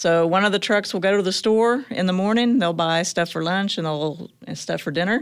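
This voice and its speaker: This woman has a normal speaking voice with an American accent, medium pitch and ordinary pitch variation. She keeps a moderate pace with hardly any pauses, on a very clean recording with a silent background. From Choctaw, Oklahoma. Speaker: fire department deputy chief. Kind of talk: interview. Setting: studio.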